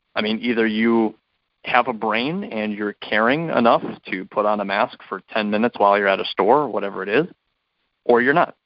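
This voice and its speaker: Speaking fairly quickly in a normal speaking voice, a man keeps a medium pitch and ordinary pitch variation. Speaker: podcast co-host, sports commentator. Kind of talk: casual sports podcast chat.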